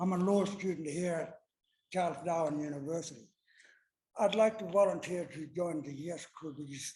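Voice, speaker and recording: A man speaks in a high pitch at a moderate pace, with ordinary pitch variation. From Kimberley, Western Australia. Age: 60s. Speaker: law student, audience member. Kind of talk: audience remarks at debate. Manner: casual, a bit halting.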